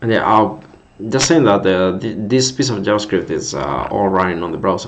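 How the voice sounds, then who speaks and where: A man talks with a Spanish accent and lively intonation. Audible room echo and noticeable background noise surround him. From Spain. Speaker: coding streamer. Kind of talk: live coding stream chat. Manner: halting, repetitive; slower in English than usual.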